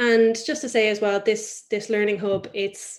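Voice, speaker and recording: A woman talks at a fairly slow pace with a fairly high pitch. Her intonation stays fairly even. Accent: Irish. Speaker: webinar host. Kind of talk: webinar introduction. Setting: video call webinar.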